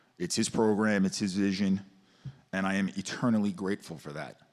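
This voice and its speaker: A man speaks with a Staten Island accent at a fairly quick pace. His pitch sits fairly low. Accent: Staten Island New York. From Staten Island, New York City. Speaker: teacher and football coach speaking at public comment. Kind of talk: public comment testimony. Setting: school board meeting with audience. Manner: halting, emotional.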